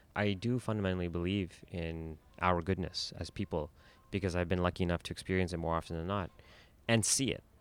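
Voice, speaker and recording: A man with a very deep, low voice speaks at a fairly quick pace with fairly even intonation. The recording is very clean, with a silent background. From Toronto, Canada. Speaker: filmmaker. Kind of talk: interview about his film.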